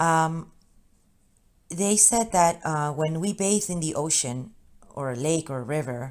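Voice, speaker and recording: A woman with a Spanish accent speaks fairly slowly in a very deep, low voice with lively intonation and long, frequent pauses. The recording is very clean with a silent background. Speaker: spiritual channeler. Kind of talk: spiritual message monologue. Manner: halting.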